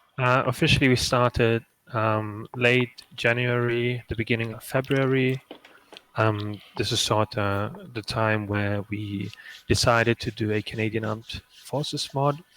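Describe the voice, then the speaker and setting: A man with a German accent speaks at a medium pitch and a fairly slow pace, the sound dry and close with no echo. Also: fairly even intonation. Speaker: game modder, stream co-host. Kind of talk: casual live stream chat. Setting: live stream.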